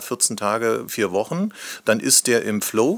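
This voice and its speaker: Recorded very cleanly against a silent background, a man uses an ordinary speaking voice at medium pitch with ordinary pitch variation. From Lusatia, eastern Germany (Hoyerswerda). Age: 50s. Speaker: company managing director. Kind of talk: podcast interview.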